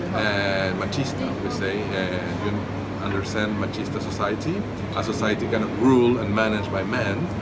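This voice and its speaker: There is music in the background. A man speaks over it at a moderate pace. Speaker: interviewee. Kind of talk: interview answer. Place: hall. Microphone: phone near.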